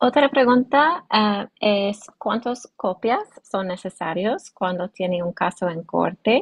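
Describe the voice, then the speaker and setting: With an English accent, a woman speaks at a very slow pace and medium pitch, somewhat breathy, with lively intonation and hardly any pauses. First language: English (speaking Spanish). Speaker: immigration lawyer. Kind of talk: legal workshop Q&A. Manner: halting, searching for words.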